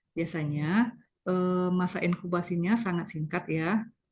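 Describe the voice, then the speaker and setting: Somewhat breathy and fairly even in intonation, a woman speaks at a medium pitch and a moderate pace. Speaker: medical lecturer, doctor. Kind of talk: lecture. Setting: video call.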